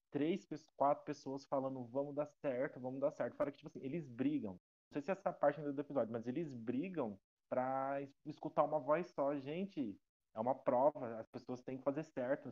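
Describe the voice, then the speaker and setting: Here is a man with an ordinary speaking voice, pitched fairly high. His pace is moderate and his pitch varies in an ordinary way. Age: 20s. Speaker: podcast guest, reality show fan. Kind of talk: casual chat.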